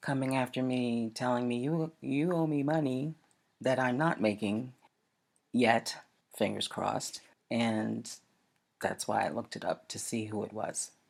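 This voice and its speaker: Pausing long and often, a woman talks at a fairly slow pace in a very deep, low pitch with ordinary pitch variation. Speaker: podcast host. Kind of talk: monologue podcast.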